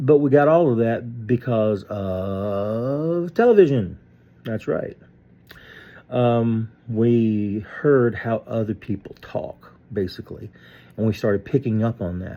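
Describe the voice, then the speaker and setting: With a Piedmont accent, a man speaks very slowly, using ordinary pitch variation. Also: medium pitch for a man. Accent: Southern US, Piedmont. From Southeastern United States. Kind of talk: casual talk to camera. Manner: hesitant, many fillers.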